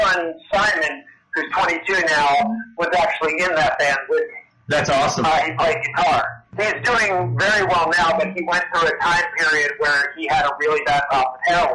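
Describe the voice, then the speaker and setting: A man's high voice at a moderate pace, with ordinary pitch variation and noticeable background noise. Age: 40s. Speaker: punk band frontman and Satanist. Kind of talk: interview.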